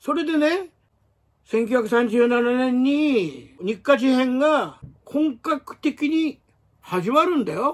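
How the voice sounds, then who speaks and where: A man speaks at an extremely high pitch with lively intonation. His pace is very slow. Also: quiet background. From Japan. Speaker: martial arts writer and former magazine editor; martial arts commentator. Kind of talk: solo commentary monologue; commentary monologue. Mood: indignant in places. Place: home room. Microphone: phone near.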